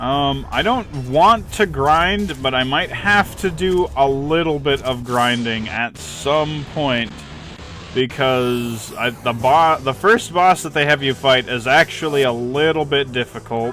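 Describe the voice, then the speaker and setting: A man talks very slowly while music plays behind him. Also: fairly high pitch for a man, ordinary pitch variation. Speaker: video game streamer. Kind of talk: live gameplay stream commentary. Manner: casual.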